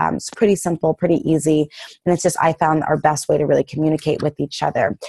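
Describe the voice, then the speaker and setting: A woman at a very fast pace, very deep and low in pitch, dark and mellow in tone with fairly even intonation, in a dry sound with no echo over a quiet background. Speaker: fitness coach. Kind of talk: casual group check-in call. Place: home room. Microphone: earbuds.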